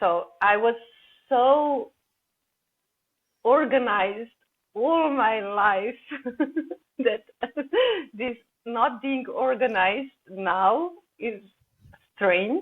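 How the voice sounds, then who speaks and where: A woman with a Slovenian accent speaks at a fairly high pitch with lively intonation. Her pace is very slow, with long, frequent pauses. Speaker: holistic coach. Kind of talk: podcast interview. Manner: halting, repeats words.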